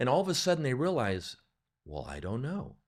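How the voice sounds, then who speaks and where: A man speaks at a moderate pace with very wide pitch swings and vocal fry. The recording is very clean, with a silent background. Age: 60s. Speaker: sales coach for financial advisors. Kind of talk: podcast conversation. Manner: explanatory.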